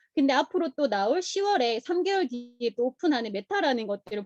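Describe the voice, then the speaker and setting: This woman's high-pitched voice swings very widely in pitch and moves at a fairly quick pace. The sound is dry and close, with no echo. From South Korea, Busan. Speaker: direct sales distributor. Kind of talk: motivational talk.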